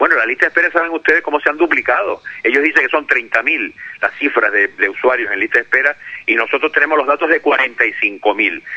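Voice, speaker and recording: This man's fairly quick speech comes with noticeable background noise. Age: 60s. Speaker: hospital doctor and union representative. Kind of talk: phone interview. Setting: phone call.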